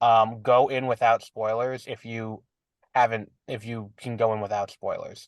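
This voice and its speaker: With a New York accent, a man speaks fairly slowly at a medium pitch in a monotone, flat intonation, with big swings in loudness. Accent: New York City. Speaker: podcast co-host. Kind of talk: casual chat.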